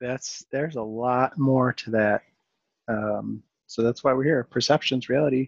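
A man speaks with a Western New York accent. The sound is dry and close, with no echo. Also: medium pitch for a man, fairly even intonation. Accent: Western New York (Inland North). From Rochester, New York. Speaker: podcast host. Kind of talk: casual interview chat. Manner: fast when worked up.

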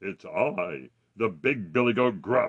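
Using a put-on character voice, a man talks at a medium pitch and a fairly slow pace.

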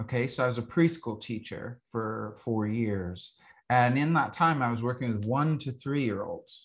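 A normal speaking voice with an American accent at a moderate pace, over a quiet background. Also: man, medium pitch for a man, ordinary pitch variation. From US South, Alabama. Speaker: astrologer and herbalist. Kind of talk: interview conversation.

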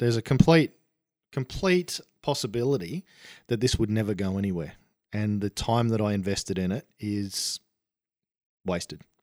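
Recorded very cleanly against a silent background with dry, close sound and no echo, a man with an Australian accent speaks at a moderate pace in a fairly low pitch, with lively intonation and long, frequent pauses. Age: 40s. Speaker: author. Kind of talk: casual interview.

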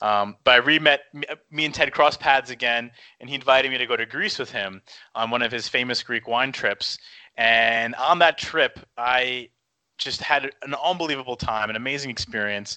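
A man's normal speaking voice in an American accent, medium in pitch, with ordinary pitch variation and a moderate pace. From New York area. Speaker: restaurateur. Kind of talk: casual interview. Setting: at home, remote call.

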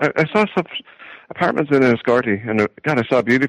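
Recorded with a dry, close sound and no echo, a man with an American accent talks at a very fast pace with ordinary pitch variation. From Ireland, County Wexford. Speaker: agricultural economist, professor. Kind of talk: interview. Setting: phone call.

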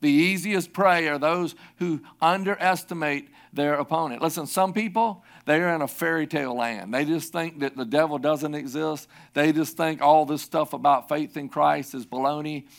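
This man has a fairly high pitch and ordinary pitch variation at a moderate pace. The recording is very clean with a silent background. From South Carolina. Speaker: pastor. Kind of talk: sermon. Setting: church.

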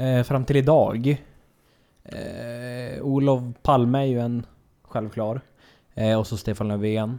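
With a dark, mellow tone, a man talks at a very slow pace, his intonation fairly even and broken by long, frequent pauses. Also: medium pitch for a man. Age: 20s. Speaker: guest, traveller. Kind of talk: casual chat.

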